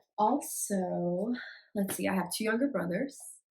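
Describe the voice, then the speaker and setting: A woman speaks with an American accent. Her voice is somewhat breathy, with ordinary pitch variation. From US Midwest, Chicago. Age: 20s. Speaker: vlogger and nurse. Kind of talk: casual get-to-know-me vlog. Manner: hesitant, many fillers (um).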